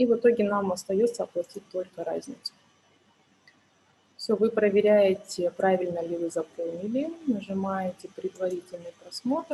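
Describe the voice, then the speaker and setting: A woman speaks in a somewhat breathy voice. Long, frequent pauses run through her speech. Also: medium pitch for a woman, ordinary pitch variation, moderate pace. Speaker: tax accountant, webinar speaker. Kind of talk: webinar tutorial. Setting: online webinar.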